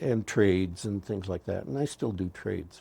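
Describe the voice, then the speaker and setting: A man speaks in a fairly low pitch with a dark, mellow tone and a somewhat breathy quality. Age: 70s. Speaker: astrologer and healer. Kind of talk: interview conversation.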